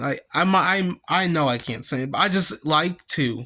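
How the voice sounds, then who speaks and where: A man's raised, projected voice with an American accent, bright and sharp in tone, lively intonation at a moderate pace. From Kansas and Missouri, US Midwest. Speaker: vlogger. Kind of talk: personal storytelling vlog. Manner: halting, many fillers and restarts.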